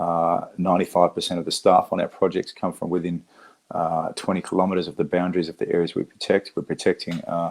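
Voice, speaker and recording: A man talking at a very fast pace with an Australian accent. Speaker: conservationist, war veteran. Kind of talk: talk to an audience. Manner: halting, many fillers and repeats.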